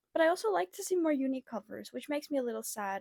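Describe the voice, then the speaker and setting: Soft-spoken and high-pitched, a woman talks at a fairly quick pace in a dry, close sound with no echo. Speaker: booktuber. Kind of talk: casual chat. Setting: home bedroom. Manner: hesitant.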